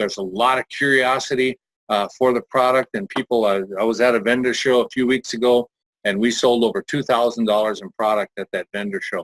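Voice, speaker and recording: The man has an ordinary speaking voice at medium pitch, with fairly even intonation. He talks at a fairly quick pace, and the sound is dry and close with no echo. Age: 60s. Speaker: network marketing presenter. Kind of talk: sales pitch. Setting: webinar.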